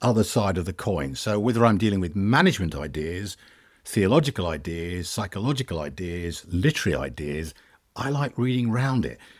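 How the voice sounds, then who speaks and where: A man with vocal fry and a fairly low pitch speaks at a moderate pace, his pitch swinging very widely. The recording is very clean, with a silent background. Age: 70s. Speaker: management trainer and author. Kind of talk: podcast interview.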